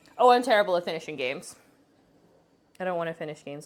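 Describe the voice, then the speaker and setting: Talking at a very fast pace, a woman with a Boston accent keeps a fairly low pitch. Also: big swings in loudness. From Boston, New England. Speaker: streamer. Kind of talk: casual chat.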